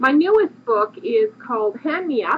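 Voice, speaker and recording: A woman talks with lively intonation while noticeable background noise continues behind her. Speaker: craft book author and designer. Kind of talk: tutorial. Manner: fast.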